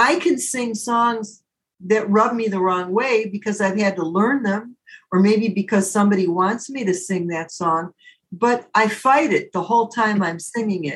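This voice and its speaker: A woman with a Midwestern American accent speaks at a medium pitch and a moderate pace. Her voice is somewhat breathy, with ordinary pitch variation. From Detroit area, Michigan. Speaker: jazz singer. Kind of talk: interview.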